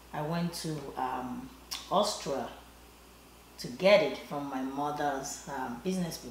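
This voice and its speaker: A woman with a Nigerian accent, her very deep, low voice with lively intonation, at a very slow pace with long, frequent pauses, noticeable background noise, and audible room echo. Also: big swings in loudness. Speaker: shoe designer. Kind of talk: interview. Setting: designer's living room.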